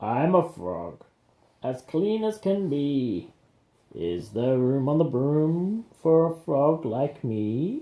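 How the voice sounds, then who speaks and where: A put-on character voice at a low-to-middle pitch, delivered at a very slow pace. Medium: read story.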